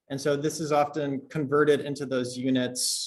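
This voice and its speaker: The delivery comes at a moderate pace. It is an ordinary speaking voice. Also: man. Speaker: university lecturer. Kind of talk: lecture. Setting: classroom.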